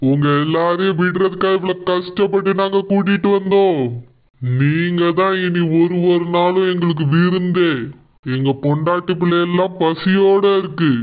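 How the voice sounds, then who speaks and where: A man's put-on character voice, high in pitch and fairly slow in pace. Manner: upbeat, mocking.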